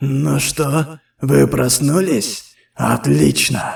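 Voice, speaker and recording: A man puts on a raspy character voice at a medium pitch. He speaks at a very slow pace. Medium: game stream. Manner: condescending, coldly polite.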